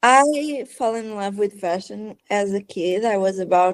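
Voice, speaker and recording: A woman with a Portuguese accent, fairly high in pitch, at a very slow pace. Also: dry, close sound with no echo. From Portugal. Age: 20s. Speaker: fashion writer, former designer. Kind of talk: podcast interview. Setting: online call. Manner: halting, repeats words.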